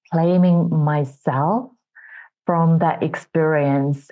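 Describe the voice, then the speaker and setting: Speaking very slowly with a Finnish accent, a woman shows ordinary pitch variation. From Finland. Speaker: entrepreneurship coach. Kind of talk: interview testimony.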